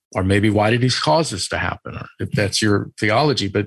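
A somewhat breathy male voice at a moderate pace with ordinary pitch variation. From Italian-American, US. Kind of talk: interview.

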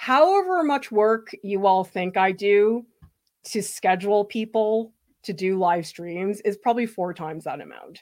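At a fairly slow pace, a woman with medium pitch and an ordinary speaking voice shows ordinary pitch variation and big swings in loudness, on a very clean recording with a silent background. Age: 40s. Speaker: art educator and channel host. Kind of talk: live stream Q and A.

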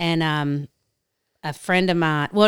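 Delivered at a moderate pace with fairly even intonation, this voice in a Southern US accent comes through on a very clean recording with a silent background. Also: woman. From US South, South Carolina. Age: 40s. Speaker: business owner. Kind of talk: casual chat.

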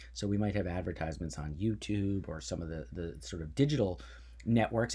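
A man speaks with a very deep, low pitch and a dark, mellow tone marked by vocal fry. His pitch swings very widely at a fairly quick pace. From New Jersey. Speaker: Senate candidate. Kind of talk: interview.

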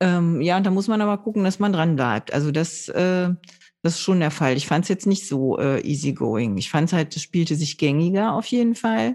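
A woman with a fairly low voice and a dark, mellow tone speaks at a moderate pace with lively intonation. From northern Germany (Low German area). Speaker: board game podcast host. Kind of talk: casual chat. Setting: recording from home.

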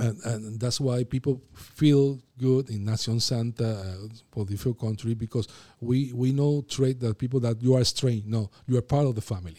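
A man speaks at medium pitch and a moderate pace, his tone dark and mellow with fairly even intonation. The sound is dry and close with no echo, on a very clean recording with a silent background. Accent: Puerto Rican. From Puerto Rico. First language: Spanish. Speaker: pastor. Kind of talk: casual interview.

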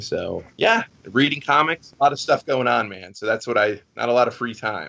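A man's plain, everyday voice with an American accent at a moderate pace with ordinary pitch variation. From Florida, Fort Myers. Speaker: comic book writer. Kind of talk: casual interview.

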